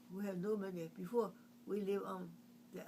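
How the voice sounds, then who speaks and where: Speaking at a moderate pace, a woman talks with a Chinese accent. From China. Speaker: artist. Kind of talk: oral history interview. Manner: halting.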